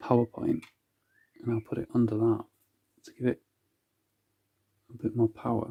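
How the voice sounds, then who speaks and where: This soft-spoken voice has a dark, mellow tone that is calm and relaxed, with a somewhat breathy quality. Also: man, dry, close sound with no echo. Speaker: crystal grid author and healer. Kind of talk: casual talk to camera, instructional demonstration. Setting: home video with mediocre sound quality. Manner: soft-spoken, calm, relaxed.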